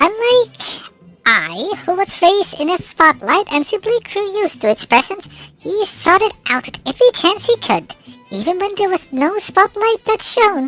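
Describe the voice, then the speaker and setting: A woman puts on a squeaky character voice at an extremely high pitch, with lively intonation. She speaks at a moderate pace while music plays in the background. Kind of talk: visual novel narration. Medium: game stream. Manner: measured, reflective.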